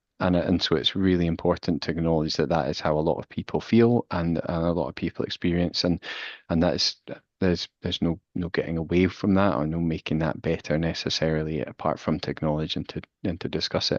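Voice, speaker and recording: Delivered at a very fast pace in a Glasgow accent, the speech has fairly even intonation and a dry, close sound with no echo. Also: man, very deep, low pitch for a man, quiet background. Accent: Scottish (Glasgow). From Scotland, Glasgow. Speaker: physiotherapist and researcher. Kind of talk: expert Q&A. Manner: hesitant, many fillers.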